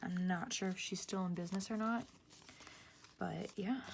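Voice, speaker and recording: Whispering comes from a woman. Her pace is moderate. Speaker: planner vlogger. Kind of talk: casual tutorial. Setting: at home.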